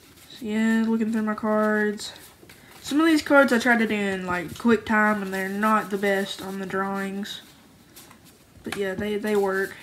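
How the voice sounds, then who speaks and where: A woman speaks in a room with audible echo. Noticeable background noise is present. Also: fairly even intonation. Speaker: homemade card game creator, YouTuber. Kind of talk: casual show-and-tell video. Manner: casual, rambling filler.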